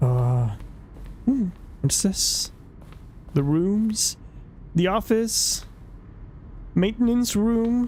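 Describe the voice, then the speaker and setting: The speech goes at a very slow pace, broken by long, frequent pauses. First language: not English. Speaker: streamer. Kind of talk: live game commentary. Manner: halting.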